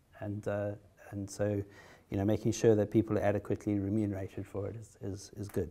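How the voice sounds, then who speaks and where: Very fast and flat, a man speaks in a South African accent with a fairly low pitch and a dark, mellow tone. His loudness swings widely on a very clean recording with a silent background. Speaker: haemophilia patient, trial participant. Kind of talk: conference talk. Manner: hesitant, many fillers and repetitions.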